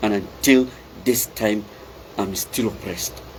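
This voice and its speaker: A man speaking at a fairly slow pace, with noticeable background noise. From Darfur, Sudan. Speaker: activist commentator. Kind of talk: impassioned political monologue. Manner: loud; halting, repetitive.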